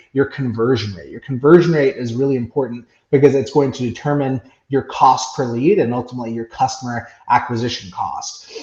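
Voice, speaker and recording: A somewhat breathy man's voice at a medium pitch and fairly quick pace, with big swings in loudness. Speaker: software company CEO and business coach. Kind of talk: podcast interview. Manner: fast.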